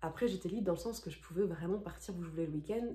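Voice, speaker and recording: A woman's dark, mellow tone carries vocal fry, a fairly low pitch and ordinary pitch variation. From France. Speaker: former au pair, vlogger. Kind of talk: casual Q&A vlog. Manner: hesitant, many fillers.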